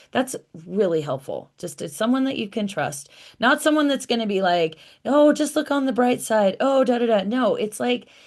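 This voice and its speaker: A woman's high voice at a moderate pace, with very wide pitch swings, against a quiet background. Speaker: astrologer and wellness coach. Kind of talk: casual self-help video talk. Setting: home office. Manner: animated.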